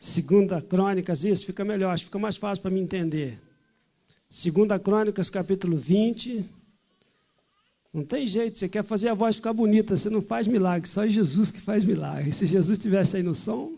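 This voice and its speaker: The tone is dark and mellow. Speech moves at a moderate pace. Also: man, high pitch for a man, ordinary pitch variation. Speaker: pastor. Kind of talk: sermon. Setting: church.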